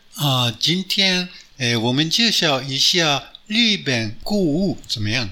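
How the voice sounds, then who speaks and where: A man with a fairly high pitch speaks at a very slow pace, his pitch swinging very widely. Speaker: radio host. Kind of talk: casual chat. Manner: halting.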